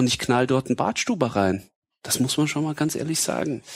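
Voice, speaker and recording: In a plain, everyday voice, a man with a medium pitch talks at a moderate pace with ordinary pitch variation. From Bavaria, Germany. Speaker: football coach. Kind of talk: casual chat.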